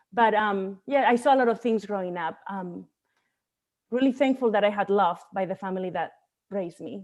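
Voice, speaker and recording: Speaking with a Spanish accent, a woman uses a medium pitch and ordinary pitch variation. Her pace is moderate, against a quiet background. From Spain, Barcelona. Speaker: bodybuilding coach. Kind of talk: podcast interview.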